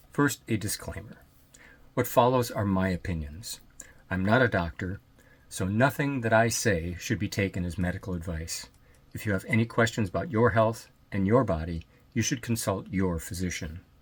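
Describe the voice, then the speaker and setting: A man's somewhat breathy voice, fairly low in pitch. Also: ordinary pitch variation, moderate pace. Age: 60s. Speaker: hernia surgery patient. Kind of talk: personal health talk to camera.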